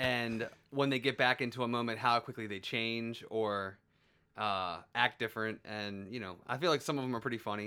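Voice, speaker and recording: Delivered at a moderate pace with fairly even intonation, this is a plain, everyday voice. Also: man, medium pitch for a man. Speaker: podcast co-host. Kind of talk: casual chat.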